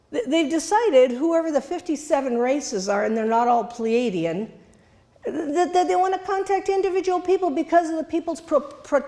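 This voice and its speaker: Amid noticeable background noise, a woman with a high pitch talks at a moderate pace with lively intonation. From Italy. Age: 70s. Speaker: journalist. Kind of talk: lecture. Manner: halting.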